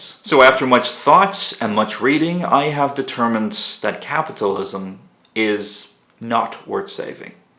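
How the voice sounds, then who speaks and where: Over noticeable background noise, the speaker talks at a fairly slow pace with lively intonation. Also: man. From Ireland. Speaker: political commentator. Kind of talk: monologue. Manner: animated.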